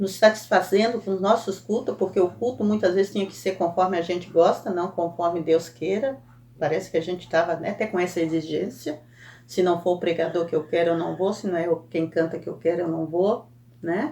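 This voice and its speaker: The voice has a dark, mellow tone with ordinary pitch variation. It moves at a fairly quick pace. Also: woman, fairly low pitch for a woman. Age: 60s. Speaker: Sunday school teacher. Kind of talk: Bible lesson teaching. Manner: conversational, frequent self-corrections.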